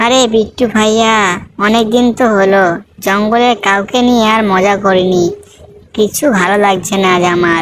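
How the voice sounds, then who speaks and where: In a cartoonish character voice, a female-sounding speaker talks at a moderate pace with a medium pitch. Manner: sly, mischievous.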